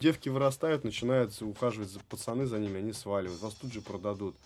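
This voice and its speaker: The pace of this man's speech is very fast. His voice sits fairly low. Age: 30s. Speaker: dance studio founder and breakdancer. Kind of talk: casual interview chat. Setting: studio. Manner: animated.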